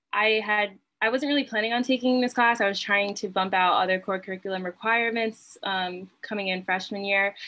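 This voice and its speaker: This woman has an ordinary speaking voice with a medium pitch, an American accent, a fairly quick pace and fairly even intonation. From New Jersey, Berkeley Heights; New Jersey. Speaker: college student. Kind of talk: panel discussion. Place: home room. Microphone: video call.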